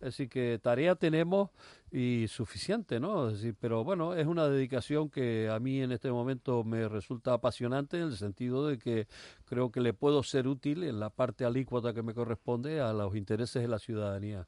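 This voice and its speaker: Over a quiet background, a man talks at a moderate pace and medium pitch with ordinary pitch variation. His tone is dark and mellow, and the sound is dry and close with no echo. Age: 70s. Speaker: politician, retired teacher. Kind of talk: radio interview. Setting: radio studio.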